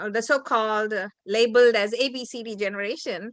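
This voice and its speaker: A woman speaks at a fairly quick pace with a bright, sharp tone. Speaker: interviewer. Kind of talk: interview.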